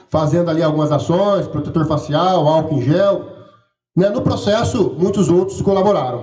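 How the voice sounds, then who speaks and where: A man talks at a high pitch and a moderate pace, with ordinary pitch variation. Room echo is audible. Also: very even loudness. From rural interior of São Paulo state, Brazil. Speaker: campus director running for re-election. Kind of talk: election debate. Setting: auditorium with audience, livestreamed.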